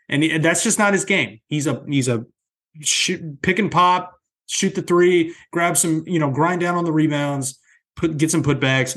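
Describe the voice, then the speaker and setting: In a plain, everyday voice, a man with a fairly high pitch talks fairly slowly with ordinary pitch variation against a quiet background. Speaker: sports podcast host. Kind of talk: casual chat.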